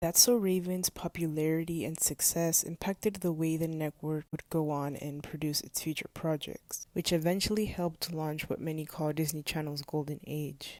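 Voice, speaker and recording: Dark and mellow in tone, the voice has a non-native accent, a moderate pace, fairly even intonation and hardly any pauses. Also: woman, very deep, low pitch for a woman. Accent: non-native English pronunciation. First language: not English. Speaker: video essayist. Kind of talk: video essay narration. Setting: low-quality home recording.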